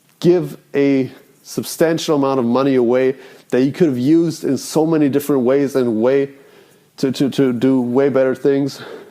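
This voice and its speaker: Noticeable background noise sits behind a man with medium pitch and fairly even intonation. He speaks at a moderate pace with very even loudness. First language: not English. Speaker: self-improvement vlogger. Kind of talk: casual monologue. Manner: rambling, halting.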